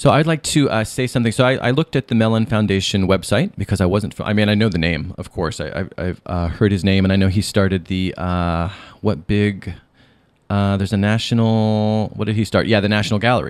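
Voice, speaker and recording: In a very clean recording with a silent background, a man talks at a fairly quick pace in an unremarkable speaking voice. His pitch is fairly low, with ordinary pitch variation. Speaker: podcast host and author. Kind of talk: interview. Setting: radio studio.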